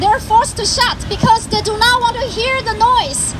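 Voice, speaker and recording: A woman talks at a moderate speed with noticeable background noise behind her. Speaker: activist. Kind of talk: protest speech. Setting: outdoor rally.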